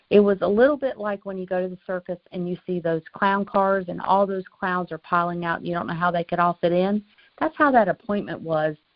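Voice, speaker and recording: In a North Carolina accent, a woman talks at a medium pitch and a fairly quick pace, with ordinary pitch variation and hardly any pauses. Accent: Southern US, North Carolina. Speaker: insurance agent trainer. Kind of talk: training call.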